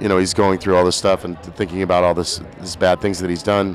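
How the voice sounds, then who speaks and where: Over noticeable background noise, a man speaks in a very deep, low voice. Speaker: singer-songwriter. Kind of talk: interview. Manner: halting.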